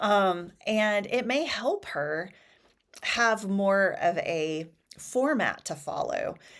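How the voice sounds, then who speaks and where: Her voice is at medium pitch and makes very wide pitch swings. The woman speaks at a very slow pace. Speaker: homeschooling parent and channel host. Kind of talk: casual chat. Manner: chatty.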